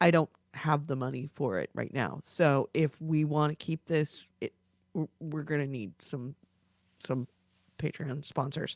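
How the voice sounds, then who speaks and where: On a very clean recording with a silent background and a dry, close sound with no echo, a woman with a very deep, low pitch and vocal fry talks at a moderate pace with fairly even intonation. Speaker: gaming podcast host. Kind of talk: casual live-stream sign-off. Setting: live video stream. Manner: halting.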